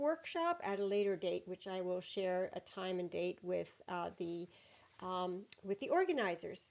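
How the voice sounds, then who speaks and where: A woman speaks with a Canadian accent. Her pitch swings very widely. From northern Germany, raised in Canada from childhood. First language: German. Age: 60s. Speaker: entrepreneur and publisher. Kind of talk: recorded conference presentation. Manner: hesitant, with many fillers.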